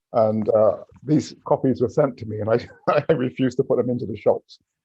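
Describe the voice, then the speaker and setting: A somewhat breathy voice moves at a fairly quick pace with ordinary pitch variation. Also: man. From Barbados, then Oxford. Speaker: author. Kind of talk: casual talk before a reading. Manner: halting.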